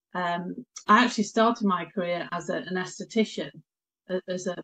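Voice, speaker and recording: This woman has a British accent and a medium pitch. She speaks at a moderate pace with fairly even intonation. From Britain. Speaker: nutritional therapist. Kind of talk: interview. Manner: hesitant, many fillers.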